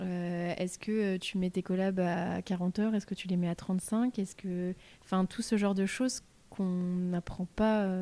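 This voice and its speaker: A woman's fairly slow, medium-pitched voice, monotone and flat, dark and mellow in tone, on a very clean recording with a silent background. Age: 20s. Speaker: podcast host. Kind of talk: interview.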